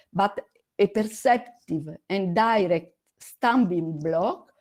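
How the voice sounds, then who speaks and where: The woman has a medium pitch and a dark, mellow tone. She speaks with an Italian accent and ordinary pitch variation. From Italy. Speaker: astronomy educator. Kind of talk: online conference presentation. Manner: halting.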